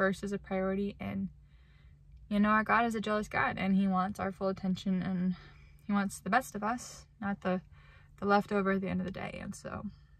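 A woman speaks in a somewhat breathy voice with monotone, flat intonation. The sound is dry, with no echo. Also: fairly quick pace. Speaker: vlogger. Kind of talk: casual vlog chat, reflective faith talk. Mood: reflective, earnest. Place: car. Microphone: phone near.

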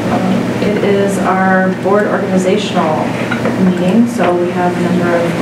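A woman amid loud background noise and audible room echo. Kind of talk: meeting chairing. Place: meeting room. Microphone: camera far.

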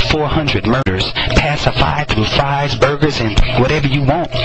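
A man's medium-pitched voice with an American accent, ordinary pitch variation and a moderate pace, music in the background. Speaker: poet. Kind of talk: spoken word poetry performance. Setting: prison recording.

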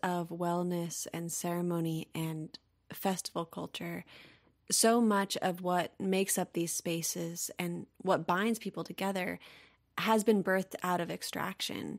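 Over a silent background on a very clean recording, a woman with an ordinary speaking voice speaks at a fairly slow pace and fairly low pitch, her intonation fairly even. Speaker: podcast host. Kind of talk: interview conversation.

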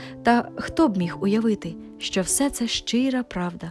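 The voice here is a natural reading voice. It carries the text out loud.

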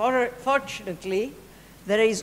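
Speaking at a fairly slow pace, a woman talks with a Greek accent. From Greece. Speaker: political activist. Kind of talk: political speech. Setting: stage with audience. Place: hall. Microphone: podium.

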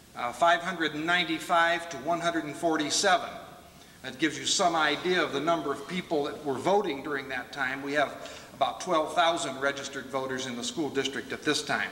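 Amid light background noise and audible room echo, a man with a fairly high pitch speaks at a moderate pace with fairly even intonation. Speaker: speaker. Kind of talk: historical speech. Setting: stage with audience. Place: hall. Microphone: podium.

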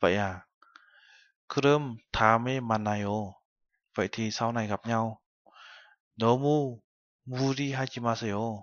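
Speaking very slowly with long, frequent pauses and fairly even intonation, the voice sounds dry with no echo against a quiet background. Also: man, medium pitch for a man. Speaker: Korean language teacher. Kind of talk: lecture. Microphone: webcam.

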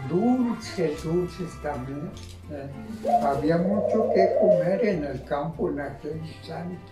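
Loud music plays in the background. Over it, a man speaks at a very slow pace. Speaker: retired farmer. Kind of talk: oral history interview answer. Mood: nostalgic, warm. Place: home room.

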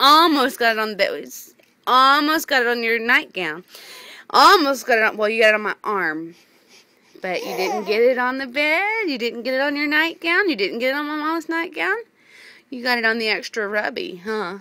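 Delivered at a moderate pace, the speech has a dry sound with no echo. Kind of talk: casual talk to a baby. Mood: amused, affectionate. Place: home room. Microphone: phone near.

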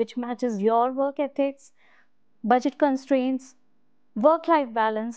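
Over a quiet background, a woman speaks at a high pitch and a moderate pace in a dry sound with no echo. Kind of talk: interview answer. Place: studio. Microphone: lapel.

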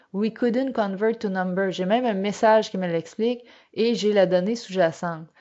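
Her pitch is medium and varies in an ordinary way. The woman keeps a moderate pace. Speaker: finance and data analytics trainer. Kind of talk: webinar tutorial. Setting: online webinar. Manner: hesitant, many fillers and repetitions.

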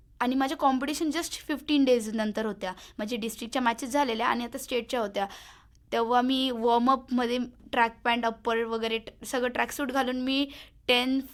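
The recording is very clean, with a silent background. A woman speaks at a high pitch with fairly even intonation. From Maharashtra, Sangamner (Ahmednagar district). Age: young. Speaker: sprinter, athlete. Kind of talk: radio interview. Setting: radio studio.

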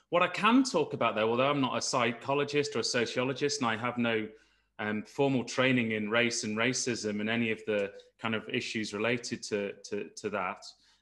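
A man with an East Midlands accent, bright and sharp in tone, at a fairly quick pace with fairly even intonation against a quiet background. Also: medium pitch for a man. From East Midlands, England. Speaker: geoscientist panelist. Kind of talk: panel discussion. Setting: video call. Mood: earnest, reflective.

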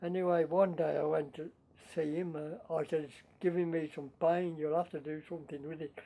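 A man with a dark, mellow tone talks at a fairly quick pace in a monotone, flat intonation. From Shropshire / Staffordshire border, England. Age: 80s+. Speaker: war veteran. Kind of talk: interview answer.

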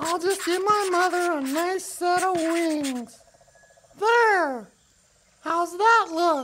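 In a cartoonish character voice, the speaker talks at an extremely high pitch and a very slow pace, with long, frequent pauses. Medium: puppet. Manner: upbeat.

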